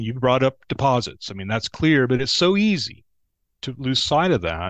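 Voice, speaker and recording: A man with an American accent at a medium pitch, very wide pitch swings and big swings in loudness, in a dry, close sound with no echo. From Texas. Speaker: banking consultant, former bank CFO. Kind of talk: casual interview chat.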